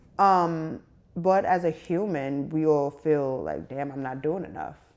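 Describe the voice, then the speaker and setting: With a New York accent, a woman talks at a fairly slow pace in a very deep, low pitch. Her loudness swings widely, her pitch varies in an ordinary way, and the background is quiet. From New York City. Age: 30s. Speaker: media personality. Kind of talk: interview.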